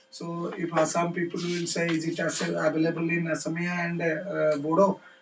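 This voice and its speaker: At a moderate pace, the voice carries on against noticeable background noise. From India, Odisha. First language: Odia. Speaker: education official. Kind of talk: lecture. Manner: halting.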